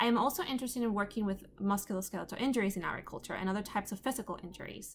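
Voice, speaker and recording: A somewhat breathy woman speaks at a very fast pace. Her medium pitch shows ordinary variation. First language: Spanish. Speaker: undergraduate student. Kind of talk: class presentation.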